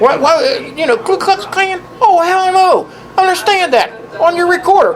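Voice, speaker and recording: A man's extremely high voice in a Southern US accent, with very wide pitch swings at a moderate pace over noticeable background noise. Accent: Southern US (Georgia). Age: 60s. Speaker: former city councilman and mayor. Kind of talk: police interview. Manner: halting, many fillers and repeats.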